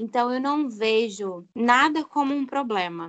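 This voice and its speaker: A woman's plain, everyday voice, fairly high in pitch, with ordinary pitch variation. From João Pessoa, Paraíba, Brazil. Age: 20s. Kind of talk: casual chat.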